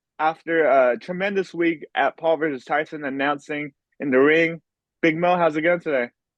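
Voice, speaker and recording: A man talks at a moderate pace in an unremarkable speaking voice, fairly high in pitch, with fairly even intonation. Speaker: interviewer. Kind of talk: interview questions.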